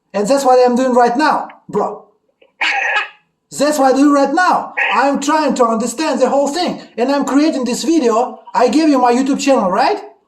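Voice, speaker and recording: An animated man talks at an extremely high pitch with ordinary pitch variation and a moderate pace. Audible room echo surrounds his voice. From Russia. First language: Russian. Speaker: YouTuber. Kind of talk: casual chat.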